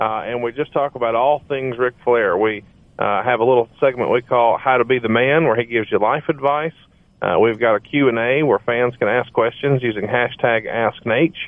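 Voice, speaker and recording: This is a normal speaking voice with an American accent. The intonation stays fairly even. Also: man, medium pitch for a man, moderate pace. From US South, Alabama. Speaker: podcast co-host and mortgage business owner. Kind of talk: casual interview chat.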